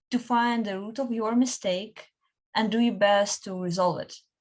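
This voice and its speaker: A woman with a non-native accent and a fairly high pitch speaks with lively intonation. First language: not English. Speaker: student researcher. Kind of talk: panel discussion.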